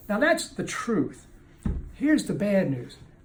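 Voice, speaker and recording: A man with an American accent speaks at a fairly slow pace, his pitch swinging very widely. Audible room echo follows his words. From Kentucky, US. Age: 60s. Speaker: addiction recovery author and speaker. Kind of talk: motivational talk to camera. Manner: animated, with halting restarts.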